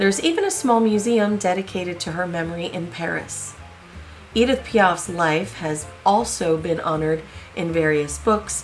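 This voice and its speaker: A woman at a moderate pace with ordinary pitch variation, music in the background. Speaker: history video host. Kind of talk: biography narration.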